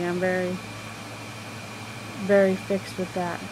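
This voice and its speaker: A soft-spoken woman talks at a moderate pace and medium pitch. Audible room echo and noticeable background noise fill the recording. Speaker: astrology vlogger. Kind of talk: casual monologue. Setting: semi-dark room.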